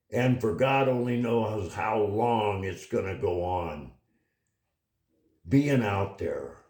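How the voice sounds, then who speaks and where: Speaking very slowly in a fairly low voice, a man leaves long, frequent pauses amid audible room echo. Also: ordinary pitch variation. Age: 80s+. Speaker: political commentary vlogger. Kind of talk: opinion monologue. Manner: animated.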